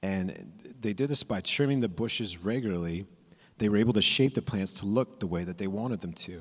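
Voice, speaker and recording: A man with an American accent, a normal speaking voice, fairly low in pitch with ordinary variation, at a fairly quick pace. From California. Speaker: young adult ministry preacher. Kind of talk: sermon. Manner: casual, with frequent repeats and fillers.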